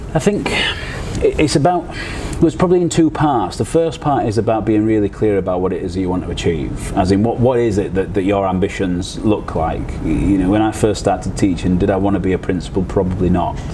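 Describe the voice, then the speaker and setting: A man's fairly low-pitched voice with lively intonation, fairly quick and with hardly any pauses, amid audible room echo and noticeable background noise. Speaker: college principal. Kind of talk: podcast interview. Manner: halting, repeats words.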